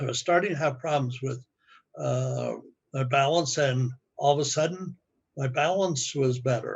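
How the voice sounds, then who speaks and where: A man with a fairly high pitch talks at a fairly slow pace in a somewhat breathy voice. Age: 80s+. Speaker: customer giving testimonial. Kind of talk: testimony. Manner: halting.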